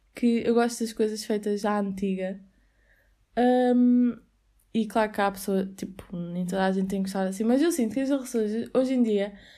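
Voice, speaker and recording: With a European Portuguese accent, a woman speaks at a fairly high pitch in a dark, mellow tone with fairly even intonation, on a very clean recording with a silent background. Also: moderate pace. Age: 20s. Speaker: podcast host, university student. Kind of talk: casual solo podcast monologue. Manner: chatty, frequent laughter and fillers.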